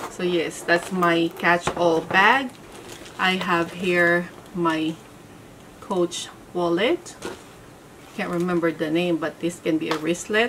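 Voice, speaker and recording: Over light background noise, a woman speaks at a very slow pace and a fairly low pitch, with ordinary pitch variation. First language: not English. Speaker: handbag reviewer. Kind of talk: casual talk to camera. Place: home room.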